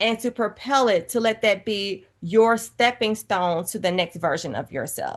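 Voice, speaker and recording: In an animated tone, a woman talks at a fairly slow pace and a fairly high pitch over a quiet background. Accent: Southern US. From US South, Georgia. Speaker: author and TV personality. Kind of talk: interview conversation.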